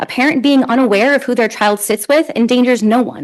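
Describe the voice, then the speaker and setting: A high-pitched woman at a very fast pace, ordinary pitch variation, noticeable background noise behind her. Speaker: public commenter. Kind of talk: public comment. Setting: city council meeting.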